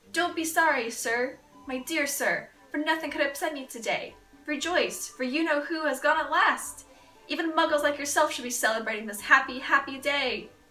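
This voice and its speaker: A woman speaks in a squeaky, put-on character voice at a moderate pace. Music plays in the background. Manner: jubilant, overjoyed.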